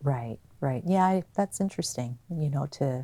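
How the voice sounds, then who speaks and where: Her tone dark and mellow, a woman speaks at a moderate pace with ordinary pitch variation in a very clean recording with a silent background and a dry, close sound with no echo. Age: 50s. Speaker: TV talk show host. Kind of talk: interview. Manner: casual, conversational.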